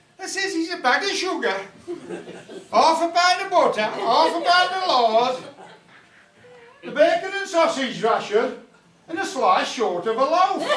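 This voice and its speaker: A man with an extremely high pitch talks at a fairly slow pace, with very wide pitch swings and long, frequent pauses, over noticeable background noise and audible room echo. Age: 70s. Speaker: folk club performer. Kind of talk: comic monologue. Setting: folk club with audience. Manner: conversational.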